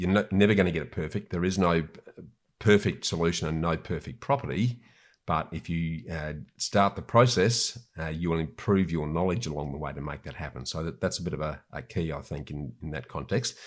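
A man with an Australian accent speaks at a very deep, low pitch with vocal fry on a very clean recording with a silent background. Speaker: property investor and author. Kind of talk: interview conversation. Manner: halting, with repetitions.

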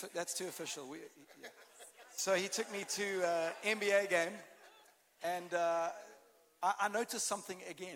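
A man with a South African accent speaks in a high voice at a moderate pace, his intonation fairly even, his loudness swinging widely, and his pauses long and frequent. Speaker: pastor. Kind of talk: sermon. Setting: church stage with audience.

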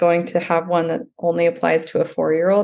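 This woman has an ordinary speaking voice, pitched fairly low, with an American accent. She talks at a moderate pace. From Texas, Dallas. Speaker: piano teacher. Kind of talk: interview.

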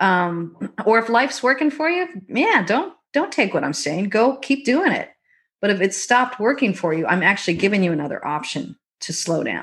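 A woman with a fairly high pitch talks at a moderate pace, her voice making very wide pitch swings on a very clean recording with a silent background. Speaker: leadership coach. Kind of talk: casual chat.

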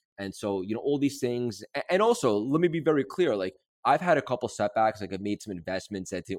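The voice sounds animated with lively intonation, recorded dry and close with no echo against a very clean, silent background. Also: man. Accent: American. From New York City. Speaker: mindset coach and entrepreneur. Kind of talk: interview.

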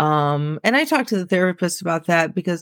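Ordinary pitch variation comes through in a Midwestern American accent. The sound is dry and close with no echo, in a very clean recording with a silent background. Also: woman. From US Midwest, central Illinois. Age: 30s. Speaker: autopsy technician. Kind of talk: interview, personal story.

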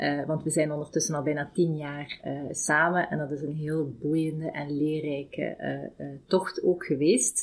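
A woman talks at a fairly slow pace in a very deep, low pitch. Her intonation is monotone and flat. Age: 40s. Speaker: HR director. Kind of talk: interview. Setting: company office. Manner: halting.

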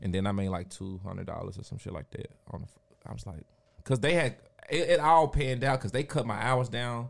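A man with a plain, everyday voice talks at a medium pitch and a fairly quick pace, using lively intonation and big swings in loudness. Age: 30s. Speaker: DJ, producer and entrepreneur. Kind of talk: casual chat.

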